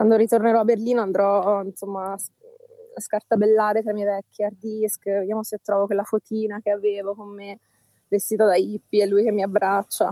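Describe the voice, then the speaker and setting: In a dark, mellow tone, a woman speaks at medium pitch and a moderate pace with monotone, flat intonation, the sound dry and close with no echo. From southern Calabria. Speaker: professor. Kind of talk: casual chat. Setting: outdoors by the sea.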